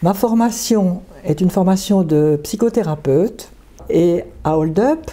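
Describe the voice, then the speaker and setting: Her voice sits at a medium pitch. The woman's intonation is lively. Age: 80s+. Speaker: psychotherapist, discussion group leader. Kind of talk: interview.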